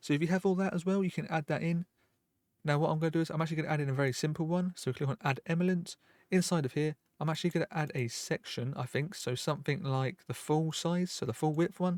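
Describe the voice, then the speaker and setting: In a very clean recording with a silent background and a dry, close sound with no echo, a man speaks very fast in a fairly high pitch with fairly even intonation. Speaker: software tutorial youtuber. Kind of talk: screen-recorded tutorial.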